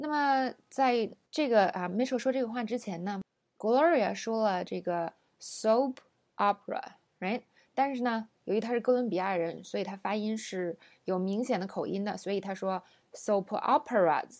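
Using a plain, everyday voice, a woman talks at a fairly slow pace with ordinary pitch variation. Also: fairly high pitch for a woman. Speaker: English pronunciation teacher. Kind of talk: lesson.

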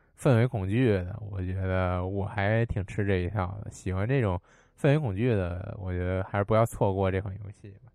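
Music plays behind a man speaking at a moderate pace. His pitch is fairly low and his intonation fairly even. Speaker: game podcast host. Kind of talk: casual chat. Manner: casual, chatty.

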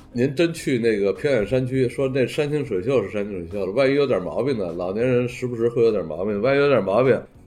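Music plays in the background as a man talks at a fairly quick pace, at a medium pitch with ordinary pitch variation. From northern China. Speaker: urban planning professor. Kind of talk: interview.

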